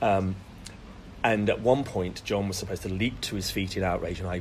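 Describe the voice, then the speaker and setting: The pace is very fast. Intonation stays fairly even. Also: man. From West Midlands, England (Solihull, near Birmingham). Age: 40s. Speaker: actor. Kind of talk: casual interview chat. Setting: podcast interview.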